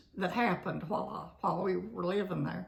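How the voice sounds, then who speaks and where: Noticeable noise fills the background. The talking proceeds at a moderate pace. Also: woman. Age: 80s+. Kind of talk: interview answer.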